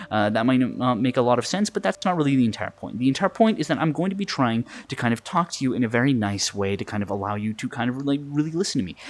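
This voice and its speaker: A man talks at a very fast pace, his medium-pitched voice carried by lively intonation. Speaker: hypnotist. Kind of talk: hypnosis induction. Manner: lowered tone, quickening tempo; repetitive, filler-heavy.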